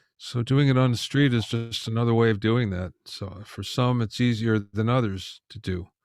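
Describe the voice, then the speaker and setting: Medium pitch and a moderate pace from a man with a plain, everyday voice. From USA. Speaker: audio engineer and music producer. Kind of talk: interview.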